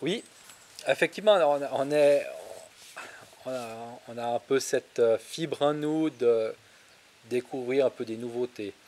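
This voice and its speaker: A man talks at a very slow pace with long, frequent pauses. His pitch varies in an ordinary way while his loudness swings widely. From Switzerland. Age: 30s. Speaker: farmer; interviewee. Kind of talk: interview. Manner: hesitant, many fillers. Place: garden. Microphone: handheld.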